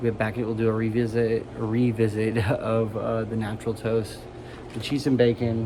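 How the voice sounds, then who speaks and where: A medium-pitched male voice with an American accent, moderate pace and monotone, flat intonation, over noticeable background noise. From United States. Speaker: tobacco snuff reviewer. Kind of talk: casual product review vlog. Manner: soft-spoken, sometimes mumbling; halting, hesitant.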